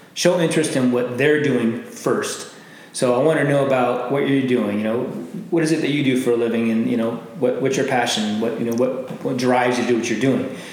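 At a fairly quick pace, a man with an American accent and a medium pitch speaks amid noticeable background noise and audible room echo. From Arizona, Glendale. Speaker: business networker. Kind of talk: interview.

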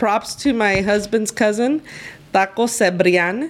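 A woman talks at a very slow pace. Her pitch varies in an ordinary way. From East LA. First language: Spanish. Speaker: lawyer. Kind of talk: casual interview chat.

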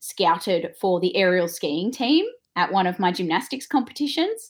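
At a moderate pace, a woman with an Australian accent speaks at a medium pitch. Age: 20s. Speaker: former Olympic snowboarder and yoga teacher. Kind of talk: interview.

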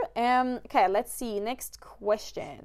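Speaking at a fairly slow pace, a woman with a Swedish accent uses a high pitch. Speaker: wildlife photographer and podcast host. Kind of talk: casual interview chat.

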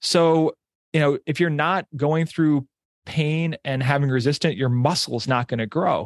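This man has a plain, everyday voice with an American accent, fairly high pitch and ordinary pitch variation. He talks at a fairly slow pace, and the sound is dry and close with no echo. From New York area, US. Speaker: business owner and real estate investor. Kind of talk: casual interview chat.

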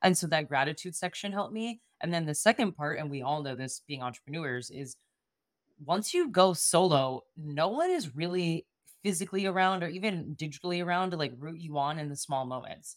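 A woman talks with an unremarkable speaking voice at a fairly low pitch. Her pace is fairly quick, and her loudness swings widely. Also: ordinary pitch variation. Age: 30s. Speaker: podcast coach. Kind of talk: casual chat.

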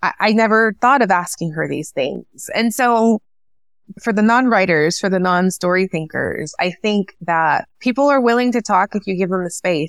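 With an American accent, a woman talks at a moderate pace. Her pitch sits in the medium range. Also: ordinary pitch variation, dry, close sound with no echo. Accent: Mexican American English. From US-Mexico border region. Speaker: author and English professor. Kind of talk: interview conversation.

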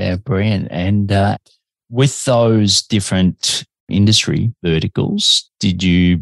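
A man talks with an Australian accent. His pitch shows ordinary variation. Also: dry, close sound with no echo. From Melbourne, Australia. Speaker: podcast host. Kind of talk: interview.

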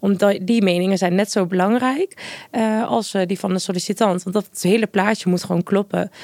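Using a plain, everyday voice, a woman at a medium pitch talks fairly quickly with ordinary pitch variation in a dry, close sound with no echo. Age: 20s. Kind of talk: casual interview.

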